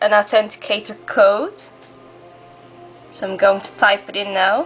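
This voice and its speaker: A woman's medium-pitched voice over music in the background. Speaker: gamer. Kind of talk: casual product demo to camera.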